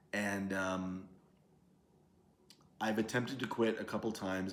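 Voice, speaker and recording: Speech proceeds at a moderate pace, and room echo can be heard throughout. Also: man. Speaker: vlogger. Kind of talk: casual vlog monologue. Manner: rambling, halting.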